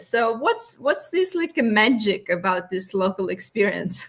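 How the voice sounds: With a fairly bright tone and fairly high pitch, a woman speaks at a moderate pace.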